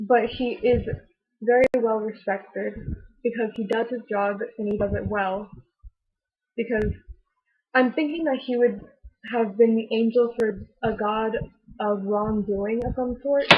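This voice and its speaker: A somewhat breathy woman's voice broken by long, frequent pauses. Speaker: character designer discussing own creations. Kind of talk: casual interview about own characters. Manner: hesitant, many fillers.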